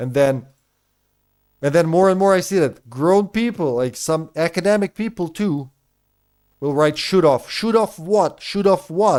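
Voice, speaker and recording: On a very clean recording with a silent background, a man with a high pitch sounds animated, using lively intonation and long, frequent pauses. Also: fairly slow pace. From Serbia. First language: Serbian. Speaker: video game streamer. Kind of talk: casual live-stream chat.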